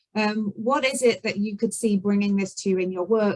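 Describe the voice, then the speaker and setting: A woman speaks with a British accent. Her voice is somewhat breathy. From Britain. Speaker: event organizer. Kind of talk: event briefing. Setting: video call. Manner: hesitant, many fillers.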